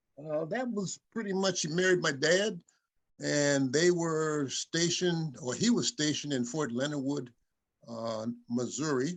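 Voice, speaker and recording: Speaking fairly slowly with lively intonation, a man uses a fairly high voice with a Midwestern US accent. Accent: US Midwest. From Michigan, Grand Rapids. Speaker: retired computer programmer, son of subject. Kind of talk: interview. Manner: halting, many fillers.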